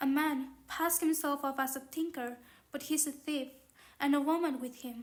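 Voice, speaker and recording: Her intonation fairly even, a woman talks at a high pitch. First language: not English. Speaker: audiobook narrator. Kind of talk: reading aloud. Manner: halting.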